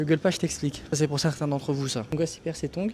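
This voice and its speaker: Quiet and very fast, a man talks at a fairly high pitch. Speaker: travel vlogger. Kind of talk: casual vlog commentary. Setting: campsite shop; outdoors at a campsite. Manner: animated; speaking quietly.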